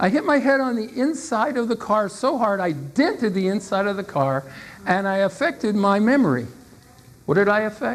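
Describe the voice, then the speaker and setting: A woman's fairly high voice in an animated tone, with very wide pitch swings. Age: 60s. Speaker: motivational speaker and salesperson. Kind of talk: keynote speech.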